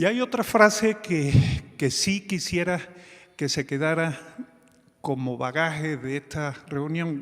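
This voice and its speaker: A man with a fairly high-pitched voice speaks very slowly with lively intonation and long, frequent pauses. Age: 60s. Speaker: physician and telemedicine organization leader. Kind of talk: conference talk. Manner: halting, with fillers.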